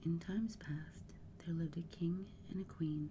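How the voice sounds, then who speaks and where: The speaker is soft-spoken. Background noise is noticeable. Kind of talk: ASMR bedtime story reading.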